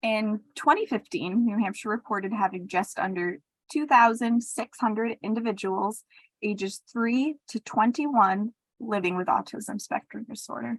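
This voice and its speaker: A woman speaks in a fairly high voice. Her tone is somewhat breathy. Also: ordinary pitch variation, moderate pace, dry, close sound with no echo. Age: young. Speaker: podcast co-host. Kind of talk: podcast chat.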